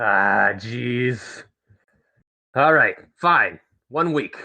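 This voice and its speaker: A man's put-on character voice at a medium pitch, with lively intonation. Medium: actual play. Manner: hesitant, stammering.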